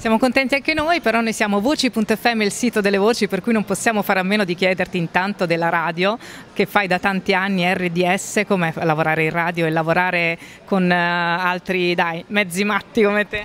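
Against light background noise, a woman speaks at a fairly quick pace with very even loudness and ordinary pitch variation. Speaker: interviewer. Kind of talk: interview. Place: hall. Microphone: phone near.

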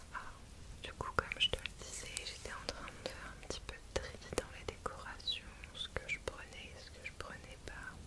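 The speaker is a whispering woman. Her pace is fairly slow. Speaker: ASMR content creator. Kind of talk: soft casual chat to viewer. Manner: soft, intimate ASMR murmur. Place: home room.

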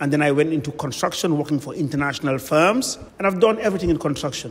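This man speaks very fast, his pitch varying in an ordinary way. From Gambia. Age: 60s. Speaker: real estate developer. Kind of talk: radio interview. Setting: studio. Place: studio.

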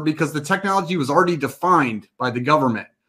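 Against a quiet background, a man speaks at a very fast pace with lively intonation. His tone is animated, bright and sharp. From Colorado. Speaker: panel moderator. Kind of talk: panel discussion. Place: home room.

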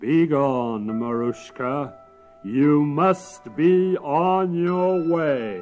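A man speaks very slowly in a put-on character voice, fairly high-pitched, with lively intonation. Music is clearly audible in the background. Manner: gruff, commanding.

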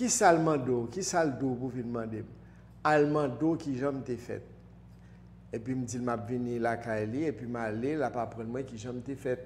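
Over light background noise, a man with a Haitian accent speaks at a fairly slow pace. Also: ordinary pitch variation. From Haiti, Port-au-Prince. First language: Haitian Creole (speaking French). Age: 60s. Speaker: spiritual teacher. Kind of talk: interview. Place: studio. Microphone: lapel.

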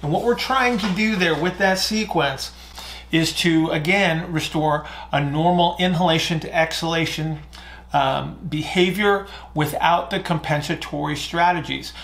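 This man has a high pitch with ordinary pitch variation. His pace is fairly slow. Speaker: fitness or breathing coach. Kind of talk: Q&A explanation, lecture-like. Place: home room.

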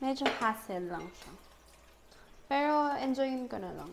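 Light background noise sits under a woman's voice. Her pitch is high and her pace fairly slow. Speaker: lifestyle vlogger. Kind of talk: casual vlog chat. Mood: relaxed, self-joking. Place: kitchen. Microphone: lapel.

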